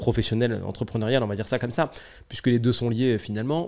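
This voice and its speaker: In a very clean recording with a silent background, a man talks very fast at a medium pitch in a dark, mellow tone. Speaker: podcast host, entrepreneur and business consultant. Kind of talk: solo podcast monologue. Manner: casual, hesitant with many fillers.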